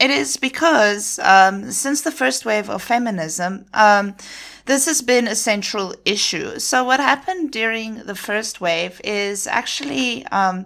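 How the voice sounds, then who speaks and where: Her fairly high voice has a bright, sharp tone and very wide pitch swings as a woman speaks at a fairly slow pace in a very clean recording with a silent background. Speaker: podcast host. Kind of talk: solo podcast talk. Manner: hesitant, many fillers.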